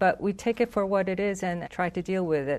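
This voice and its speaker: A woman's medium-pitched voice with a Korean accent, ordinary pitch variation, and a quiet background. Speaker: foreign minister. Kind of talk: diplomatic interview.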